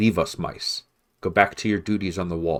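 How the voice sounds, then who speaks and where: A man's put-on character voice, very deep and low, at a moderate pace in a very clean recording with a silent background. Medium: read story.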